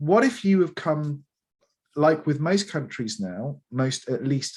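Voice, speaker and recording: A man with an East Midlands accent, fairly slow and with very wide pitch swings, on a very clean recording with a silent background. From England, Lincolnshire. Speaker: founder of an educational gaming company. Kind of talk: interview.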